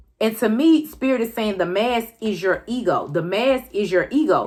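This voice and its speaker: Music plays in the background as a woman speaks at a moderate pace with a fairly high pitch and very wide pitch swings. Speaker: tarot card reader. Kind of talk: tarot reading to camera.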